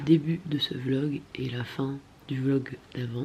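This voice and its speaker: It sounds somewhat breathy. The tone is dark and mellow. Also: woman. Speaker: vlogger. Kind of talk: casual vlog talk.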